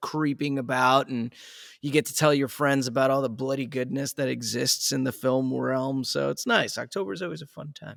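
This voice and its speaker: An unremarkable speaking voice from a man at a medium pitch and moderate pace, with ordinary pitch variation. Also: very clean recording, silent background. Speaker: voice-over talent and coach. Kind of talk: casual podcast conversation. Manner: laid-back, relaxed.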